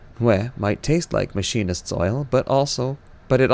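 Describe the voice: The speaker does plain reading aloud.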